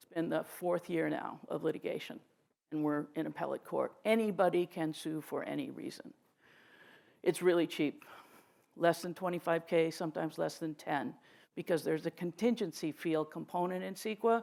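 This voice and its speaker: Fairly low, dark and mellow female voice with vocal fry, moderate pace, ordinary pitch variation and big swings in loudness. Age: 60s. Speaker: lawyer. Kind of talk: panel talk. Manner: animated.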